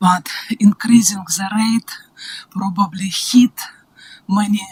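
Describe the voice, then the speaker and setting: A woman with a Russian accent speaks quietly and at a very slow pace. Noticeable background noise sits behind her. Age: old. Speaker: public submitter. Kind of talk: public submission at council hearing. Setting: council chamber. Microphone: far from the mic.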